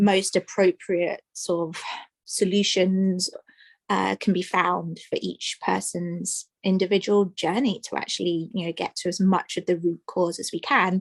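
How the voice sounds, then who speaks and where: Over a quiet background with a dry, close sound and no echo, the speaker talks in an English accent at a fairly slow pace with flat, monotone intonation. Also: woman, medium pitch for a woman. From England, London. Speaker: emotional freedom technique practitioner. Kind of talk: interview.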